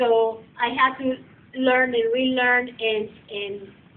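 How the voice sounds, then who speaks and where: A speaker with a non-native accent uses fairly even intonation over noticeable background noise. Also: woman. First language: not English. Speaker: massage therapy instructor. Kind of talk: lecture.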